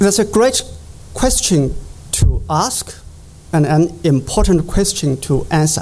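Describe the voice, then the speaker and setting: A man with a Chinese accent, speaking at a very slow pace over noticeable background noise. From China, Jiangsu (Yangzhou). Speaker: economics professor. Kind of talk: conference presentation. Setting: conference stage with audience.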